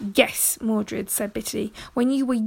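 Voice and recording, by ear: The speaker is reading aloud in a natural voice. Nothing else stands out.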